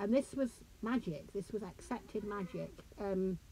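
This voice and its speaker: A woman speaks with vocal fry. Her intonation stays fairly even. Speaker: author and lecturer. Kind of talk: lecture. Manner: hesitant, conversational.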